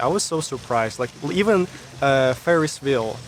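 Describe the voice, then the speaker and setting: Noticeable background noise sits behind this recording. A man with a Russian accent speaks at medium pitch. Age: 20s. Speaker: YouTuber. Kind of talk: interview conversation.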